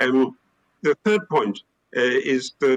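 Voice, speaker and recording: A man speaks in a British accent, the sound dry and close with no echo. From UK. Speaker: historian and academic panelist. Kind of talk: panel discussion. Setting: theater stage, live-streamed. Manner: hesitant, many fillers.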